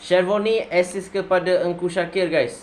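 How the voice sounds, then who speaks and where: The speaker is a man with a high-pitched voice. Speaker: football reaction youtuber. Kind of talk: casual video reaction commentary. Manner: casual, chatty; animated.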